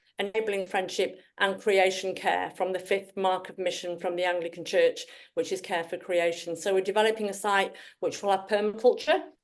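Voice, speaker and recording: Over a quiet background, a woman with a strong Yorkshire accent talks at a moderate pace with fairly even intonation. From northern England, Yorkshire. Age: 60s. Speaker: Anglican priest and women's charity leader. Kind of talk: presentation. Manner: halting.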